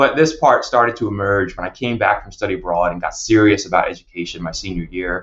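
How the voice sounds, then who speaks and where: With an American accent, a man talks very fast at a fairly low pitch, with lively intonation and big swings in loudness. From New Jersey. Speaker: psychologist and university counseling director. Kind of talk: podcast interview.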